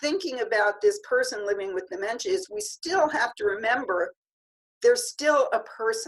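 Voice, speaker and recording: A woman speaks at a moderate pace. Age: 60s. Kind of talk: interview conversation.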